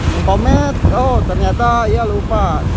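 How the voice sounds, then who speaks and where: Loud background noise fills this dry recording, which has no echo. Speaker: motovlogger. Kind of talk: casual vlog chat. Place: motorbike. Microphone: phone near.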